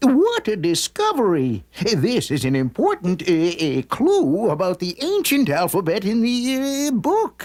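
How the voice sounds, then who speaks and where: At a fairly slow pace with hardly any pauses, a cartoonish character voice speaks at fairly high pitch. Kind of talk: cartoon voice acting. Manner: halting, many "uh" pauses.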